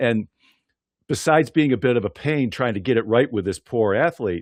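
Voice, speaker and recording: Using a plain, everyday voice, a man with an American accent speaks at a fairly low pitch and moderate pace with lively intonation, the sound dry and close with no echo over a quiet background. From US, western New York (Buffalo area). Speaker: podcast host and PA announcer. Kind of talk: interview podcast.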